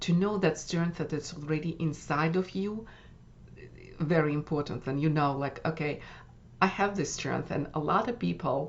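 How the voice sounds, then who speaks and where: A woman speaks in a Russian accent, her pitch very deep and low with ordinary variation. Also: moderate pace. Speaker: wellness coach. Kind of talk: workshop summary talk. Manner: halting with many fillers.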